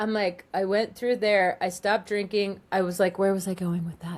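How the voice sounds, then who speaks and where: A woman with a Californian accent and an animated tone. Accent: Californian American English. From Southern California. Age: 50s. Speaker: life coach and psychic. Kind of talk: interview testimony. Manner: animated, rambling with self-quotes.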